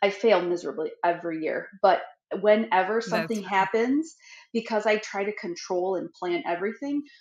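A woman talks at a moderate pace with audible room echo. The background is quiet. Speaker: podcast co-host. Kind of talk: casual podcast conversation. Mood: candid, self-deprecating, animated. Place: home room.

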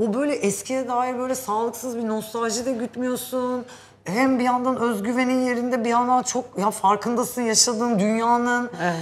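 Her voice pitched high, a woman talks in an animated tone with hardly any pauses. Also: moderate pace. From Turkey. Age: 40s. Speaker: show host. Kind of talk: casual chat. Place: hall. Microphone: lapel.

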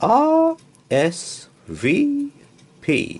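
A man's put-on character voice, extremely high in pitch, with very wide pitch swings, a slightly husky edge and a very slow pace.

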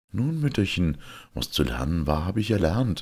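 A man does a put-on character voice, low-pitched with a slightly husky edge and big swings in pitch. He keeps a moderate pace, and the recording is very clean against a silent background.

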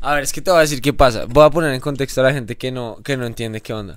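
A man speaks in an animated tone against a quiet background. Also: dry sound with no echo. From Colombia, Bogotá. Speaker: pop band musician; guest. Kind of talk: casual interview chat. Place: studio. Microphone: studio mic.

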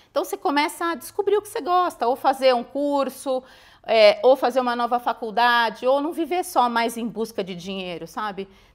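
A woman's high pitch with very wide pitch swings and big swings in loudness, at a moderate pace over a quiet background. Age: 50s. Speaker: cardiologist; guest. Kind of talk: interview. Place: studio. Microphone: lapel.

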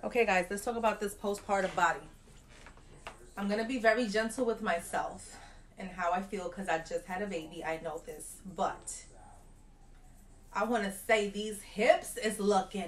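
Over light background noise, a woman talks with ordinary pitch variation and long, frequent pauses. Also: moderate pace. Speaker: new mother vlogger. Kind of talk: casual vlog chat. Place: home room. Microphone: phone near.

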